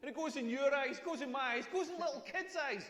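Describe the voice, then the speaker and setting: In a Scottish accent, a man speaks fairly quickly with an extremely high pitch, a bright, sharp tone and lively intonation. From Scotland. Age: 40s. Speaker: comedian. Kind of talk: stand-up. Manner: animated.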